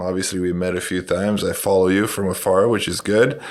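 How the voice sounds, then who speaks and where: A man speaks at a fairly low pitch with fairly even intonation. Audible echo fills the room. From Romania. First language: Romanian. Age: 40s. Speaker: basketball coach and educator. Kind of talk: podcast interview.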